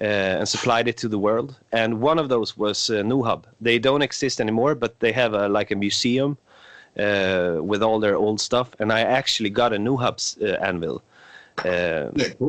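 Against a quiet background, a man with a medium pitch speaks at a moderate pace with ordinary pitch variation and very even loudness. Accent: Swedish. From Sweden. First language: Swedish. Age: 20s. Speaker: blacksmith. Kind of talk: casual chat.

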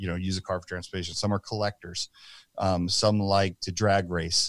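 Very deep and low, a man's voice with an American accent moves fairly quickly in a flat monotone, the sound dry and close with no echo. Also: very clean recording, silent background. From New Jersey. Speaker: nonprofit founder, firearms industry executive. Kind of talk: casual interview chat.

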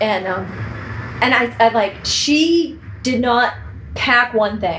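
A woman with a Boston accent and lively intonation against noticeable background noise. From US Northeast, Boston area (Braintree). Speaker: professional organizer and home stager. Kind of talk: casual interview. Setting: real estate office.

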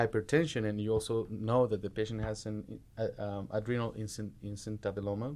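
With a Spanish accent, a man speaks at a fairly quick pace with hardly any pauses, his fairly low voice keeping a fairly even intonation. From Mexico. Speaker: medical resident. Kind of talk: medical teaching discussion.

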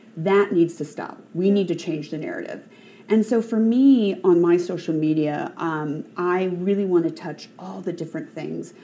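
This is an unremarkable speaking voice: a woman with a fairly low pitch, a moderate pace and ordinary pitch variation. Her loudness swings a lot. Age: 40s. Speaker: mountaineer and aerospace engineer. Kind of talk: panel discussion.

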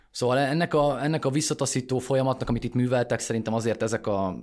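A man talking at a very fast pace, with ordinary pitch variation. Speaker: political journalist, podcast host. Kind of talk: casual political analysis.

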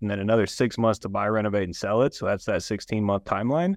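Against a quiet background with dry, close sound and no echo, a man with an American accent talks at a very fast pace, his fairly low pitch showing ordinary variation. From Columbus, Ohio. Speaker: real estate investor. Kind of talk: interview. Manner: hesitant, with many fillers.

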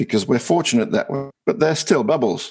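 The speaker has an Australian accent. Vocal fry marks the voice. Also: man. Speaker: innovation advisor and author. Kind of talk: interview.

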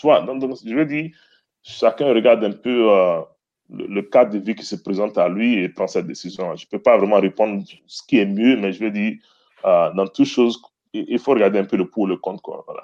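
With big swings in loudness, a man talks at a moderate pace, leaving long, frequent pauses. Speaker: former basketball player, finance professional. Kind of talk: casual chat.

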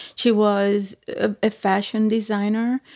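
A woman's medium-pitched, dark, mellow voice with monotone, flat intonation, dry and close with no echo, on a very clean recording with a silent background. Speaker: retiree, guest's mother. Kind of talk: casual interview. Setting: on vacation, in person.

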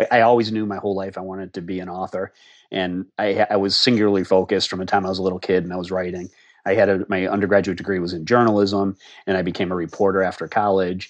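Very fast speech comes from a man with a very deep, low pitch. His intonation is monotone and flat, with an American accent. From Massachusetts, US. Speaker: crime novelist and retired federal agent. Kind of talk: interview. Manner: halting.

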